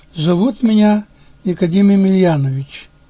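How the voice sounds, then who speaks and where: At a very slow pace, a man talks in a high-pitched, dark, mellow tone with ordinary pitch variation. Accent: Ukrainian. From Ukraine, Bukovina (Chernivtsi region). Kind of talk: reading aloud. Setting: home studio.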